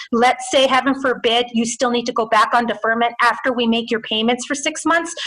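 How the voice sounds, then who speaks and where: A woman talks at a fairly quick pace in a high pitch. Noticeable background noise runs underneath. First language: Spanish. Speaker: small business loan official. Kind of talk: webinar Q&A. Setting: video webinar. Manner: fast.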